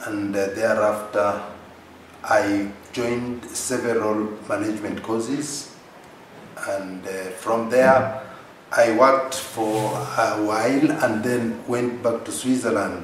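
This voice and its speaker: At a very slow pace and medium pitch, a man talks with fairly even intonation and long, frequent pauses, amid audible room echo and noticeable background noise. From Kenya, coast region. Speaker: politician. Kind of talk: interview. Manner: halting, many fillers.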